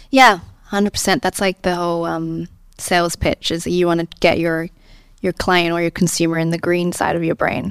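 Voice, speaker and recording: A woman speaks in a plain, everyday voice at a fairly low pitch and moderate pace, with fairly even intonation. The recording is very clean with a silent background and a dry, close sound with no echo. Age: 20s. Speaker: entrepreneur. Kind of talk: interview. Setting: studio.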